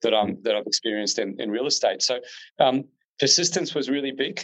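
A man talks at a fairly quick pace with an Australian accent. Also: quiet background. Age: 30s. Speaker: real estate agent. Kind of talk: interview.

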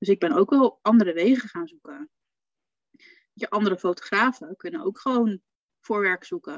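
This woman talks at a moderate pace with long, frequent pauses, big swings in loudness and lively intonation, in a dry, close sound with no echo. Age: 40s. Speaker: funeral photographer. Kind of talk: casual chat in a live video stream. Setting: live stream in a Facebook group.

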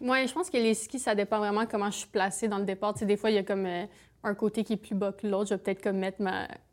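A woman's medium-pitched voice at a very fast pace, fairly even in intonation, with hardly any pauses. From eastern Ontario. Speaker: Olympic alpine skier. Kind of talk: casual interview.

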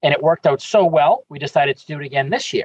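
Somewhat breathy, a man talks at a fairly high pitch and a fairly quick pace. The sound is dry and close, with no echo. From Boston. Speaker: parks commissioner. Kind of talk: interview.

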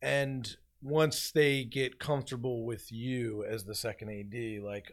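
A man with an American accent and an unremarkable speaking voice, at a medium pitch with ordinary pitch variation. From Philadelphia. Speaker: film assistant director. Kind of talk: casual interview.

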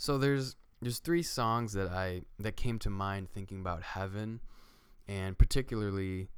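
On a very clean recording with a silent background, a man with a plain, everyday voice and fairly low pitch talks at a moderate pace. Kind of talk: casual faith discussion.

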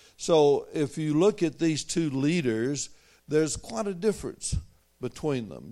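Very slowly, a man speaks with a Southern US accent and a dark, mellow tone. His intonation is lively, and the recording is very clean with a silent background. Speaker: visiting preacher. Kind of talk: sermon. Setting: church.

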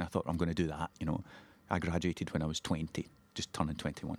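Very deep and low, a man's voice with a Scottish accent rushes along at a very fast pace. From Scotland, Ayrshire (Girvan). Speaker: playwright. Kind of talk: interview.

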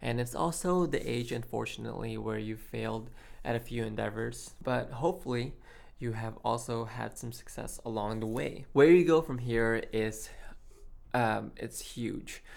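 Audible room echo surrounds a man's voice. He speaks at a moderate pace. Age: 20s. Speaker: podcast host. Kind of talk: solo podcast monologue.

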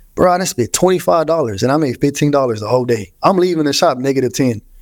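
In a very clean recording with a silent background, a man with an American accent speaks very fast at a fairly high pitch, with very wide pitch swings. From Houston, Texas. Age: 30s. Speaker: barber. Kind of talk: casual chat.

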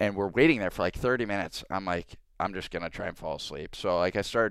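In a normal speaking voice, a man with an American accent talks at a fairly quick pace, with fairly low pitch and ordinary pitch variation, in a very clean recording with a silent background. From US South, Atlanta. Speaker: hockey player. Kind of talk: casual interview.

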